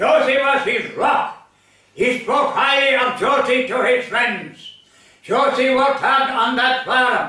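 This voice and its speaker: A man with an Irish accent speaks in a raised, projected voice at an extremely high pitch and a very slow pace, with very even loudness and fairly even intonation. Audible room echo and noticeable background noise surround him. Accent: rural Irish (Limerick). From Ireland, County Limerick. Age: 80s+. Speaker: storyteller. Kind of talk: storytelling.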